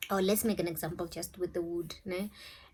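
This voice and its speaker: A woman speaks with a South African accent in a monotone, flat intonation, on a very clean recording with a silent background. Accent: South African (Venda). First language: Tshivenda. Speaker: YouTuber, spiritual advice. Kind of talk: casual vlog talk.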